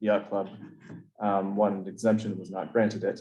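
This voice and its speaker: A soft-spoken man. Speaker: planning board chair. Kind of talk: public meeting discussion. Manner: halting.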